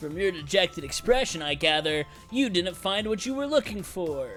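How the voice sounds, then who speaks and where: A man's put-on character voice, high-pitched at a moderate pace, with clear music in the background. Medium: game stream. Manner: dry, sardonic.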